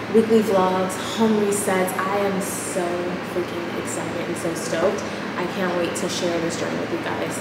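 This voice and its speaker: A woman speaks at a moderate pace. Audible room echo and loud background noise surround her voice. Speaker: vlogger. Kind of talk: casual vlog chat. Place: empty room. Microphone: camera far.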